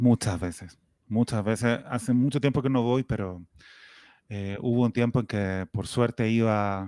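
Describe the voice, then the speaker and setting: In a strong Chilean accent, a man speaks fairly slowly at a medium pitch with fairly even intonation and a dark, mellow tone, in a very clean recording with a silent background and a dry, close sound with no echo. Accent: Chilean, still strong. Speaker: writer. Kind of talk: interview.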